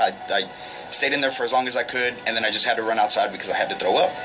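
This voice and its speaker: A man is speaking. Music plays in the background. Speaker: paranormal investigator. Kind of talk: radio call-in story. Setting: radio studio. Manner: casual, hesitant.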